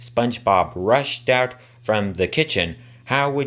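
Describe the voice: Simply plain reading aloud.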